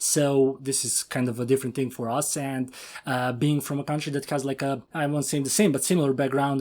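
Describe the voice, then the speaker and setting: A man's flat, monotone delivery with a Serbian accent at a fairly quick pace, in a very clean recording with a silent background. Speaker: podcast host. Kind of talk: interview.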